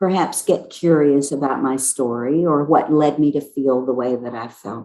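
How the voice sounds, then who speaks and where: A woman with an American accent speaks in a dark, mellow tone. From US South, South Carolina. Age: 60s. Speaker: racial healing facilitator. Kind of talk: panel discussion.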